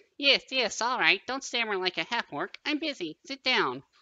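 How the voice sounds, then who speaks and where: At a moderate pace, a squeaky, put-on character voice talks at a fairly high pitch. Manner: curt, irritable.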